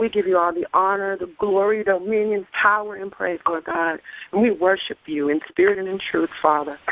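With a high pitch and fairly even intonation, a man speaks at a moderate pace. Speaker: caller praying. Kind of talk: fervent prayer. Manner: impassioned, repetitive, rhythmic.

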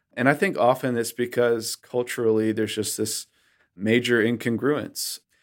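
A man's ordinary speaking voice with an American accent, medium pitch, fairly even intonation and a moderate pace, on a very clean recording with a silent background. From Western Massachusetts. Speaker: minister. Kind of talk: interview conversation.

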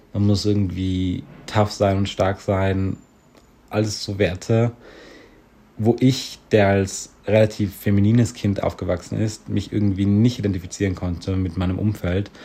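Here a man talks at a fairly low pitch with a dark, mellow tone. His delivery is fairly slow, with monotone, flat intonation. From South Tyrol. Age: young. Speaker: student. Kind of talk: voice message.

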